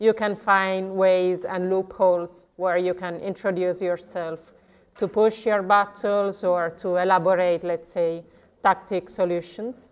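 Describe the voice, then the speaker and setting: A woman's medium-pitched voice with an Italian accent, monotone and flat, at a fairly slow pace. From southern Italy. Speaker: legal researcher at a commons NGO. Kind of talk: conference presentation.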